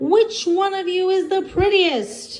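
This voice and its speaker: In a put-on character voice, the speaker sounds squeaky, with lively intonation at a fairly slow pace. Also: woman. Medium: read story.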